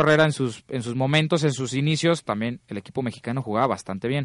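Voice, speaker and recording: A man at a very fast pace with ordinary pitch variation, a dry, close sound with no echo, and a quiet background. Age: 20s. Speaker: sports radio host. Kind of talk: casual chat.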